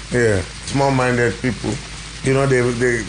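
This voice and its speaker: Noticeable background noise and audible room echo surround a man speaking at medium pitch. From Nigeria, Ibadan. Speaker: musician, bandleader. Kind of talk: casual interview.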